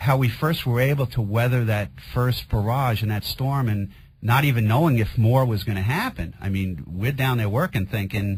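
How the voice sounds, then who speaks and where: Somewhat breathy medium-pitched male voice with a Queens accent, ordinary pitch variation and a moderate pace. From New York, Queens. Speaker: firefighter. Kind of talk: radio interview testimony.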